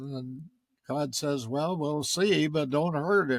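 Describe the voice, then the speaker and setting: A man's fairly high voice moves along at a very slow pace. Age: 80s+. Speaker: cave explorer. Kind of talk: interview answer.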